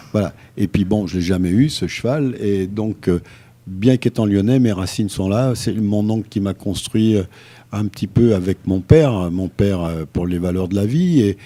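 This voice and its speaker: Speech unfolds at a fairly slow pace. The tone is dark and mellow. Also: man, fairly low pitch for a man, ordinary pitch variation. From France, Lyon. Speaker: retired cycling race organizer and horse traveller. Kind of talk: radio interview. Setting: radio studio. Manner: halting, many fillers.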